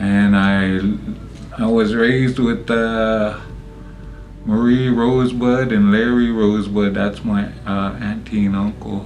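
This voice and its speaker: Music plays in the background as a man with a fairly low pitch speaks at a very slow pace with long, frequent pauses. His intonation is fairly even, and room echo is audible. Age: 60s. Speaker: interviewee sharing life story. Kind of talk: interview, personal testimony. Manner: hesitant, many fillers.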